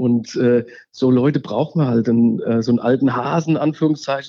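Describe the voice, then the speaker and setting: This man talks at a fairly quick pace with a fairly high pitch and fairly even intonation. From Hesse, Germany (Wallau near Hofheim am Taunus). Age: 50s. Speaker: local election candidate. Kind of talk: interview. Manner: halting, many fillers.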